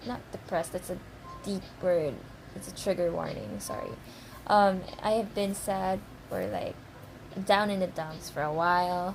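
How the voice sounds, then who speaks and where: Over noticeable background noise, a woman speaks fairly slowly with ordinary pitch variation. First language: not English. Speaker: fan vlogger. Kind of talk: casual vlog monologue. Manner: halting, stammering; rambling, emotional.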